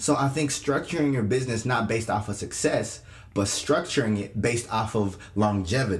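Speaking at a fairly quick pace, a man uses a medium pitch with ordinary variation. His voice is somewhat breathy, and its loudness stays very even. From Kenya. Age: young. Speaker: podcast co-host, youth pastor. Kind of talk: casual chat.

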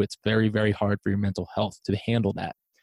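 Speaking at a very fast pace, a man with an American accent talks at a medium pitch. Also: dry, close sound with no echo. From South Jersey, US. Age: 20s. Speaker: podcast host, entrepreneur. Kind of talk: casual interview chat. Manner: animated.

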